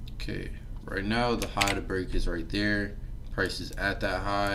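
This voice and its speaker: Someone mumbles at a moderate pace amid noticeable background noise and audible room echo. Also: man. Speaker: forex trader and trading educator. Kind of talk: live-stream market analysis tutorial. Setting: live stream with background music. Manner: casual, filler-heavy; mumbling.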